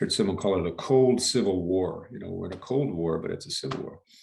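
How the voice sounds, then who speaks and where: This man talks with an American accent, and his voice comes out somewhat breathy. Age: 70s. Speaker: leadership coach. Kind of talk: interview. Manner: halting.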